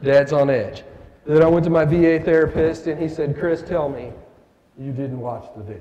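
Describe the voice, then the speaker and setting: There is audible room echo around a man's voice. He speaks at a moderate pace in a fairly high pitch. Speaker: war veteran and keynote speaker. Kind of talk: motivational keynote speech. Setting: stage with audience at a breakfast event. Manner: halting, stammering for words; animated.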